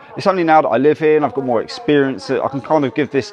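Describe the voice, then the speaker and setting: There is light background noise. Over it, a man speaks at a very fast pace. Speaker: travel vlogger. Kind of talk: casual vlog chat. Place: station. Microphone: lapel.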